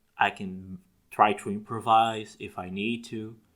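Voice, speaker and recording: Recorded very cleanly against a silent background, a man talks at a very slow pace with a medium pitch. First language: Portuguese. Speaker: gaming and roleplay YouTuber. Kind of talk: casual monologue. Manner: halting, frequent self-corrections.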